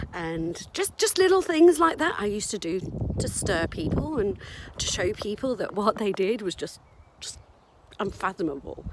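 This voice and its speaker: A woman's medium-pitched voice with very wide pitch swings at a moderate pace, marked by long, frequent pauses over noticeable background noise. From Oxford, England; later raised in South Africa. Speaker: anti-racism activist. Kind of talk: personal story told to camera. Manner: casual, conversational.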